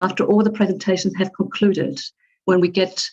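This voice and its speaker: A woman speaks with a German accent. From Germany. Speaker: webinar moderator. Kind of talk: conference moderation. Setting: video call. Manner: hesitant with fillers.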